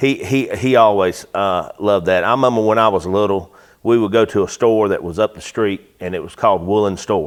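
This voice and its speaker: Speech with a North Carolina accent flows with hardly any pauses and fairly even intonation. The recording is very clean, the background silent. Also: man, fairly low pitch for a man. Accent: US Southern (North Carolina). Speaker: auto repair business owner. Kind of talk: interview. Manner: quiet; halting.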